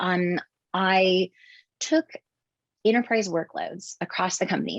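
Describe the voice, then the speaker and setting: At a moderate pace, a woman talks with medium pitch and ordinary pitch variation. The sound is dry and close, with no echo. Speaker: tech company vice president. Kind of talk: interview. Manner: soft-spoken.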